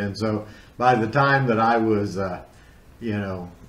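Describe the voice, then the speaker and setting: Audible room echo surrounds a man who talks at a moderate pace, his fairly low voice staying fairly even in intonation. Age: 60s. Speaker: guest co-host, horror movie fan and blogger. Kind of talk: casual chat. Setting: video call. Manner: halting, many fillers.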